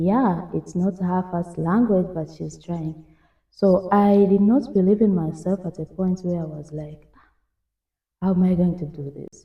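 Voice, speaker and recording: The voice is somewhat breathy, with ordinary pitch variation. It moves at a moderate pace. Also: woman. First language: French or Swahili. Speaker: podcast host. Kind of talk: casual interview chat. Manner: halting.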